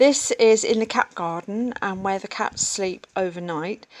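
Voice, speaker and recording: Recorded very cleanly against a silent background, a woman with an English accent speaks at a fairly slow pace with ordinary pitch variation. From England. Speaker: artist and cat keeper. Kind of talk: casual vlog narration.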